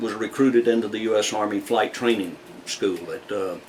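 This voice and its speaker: A man with a medium pitch talks at a moderate pace over noticeable background noise. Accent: Southern US. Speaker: retired army aviator, local history source. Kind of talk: interview. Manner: halting, many filler words.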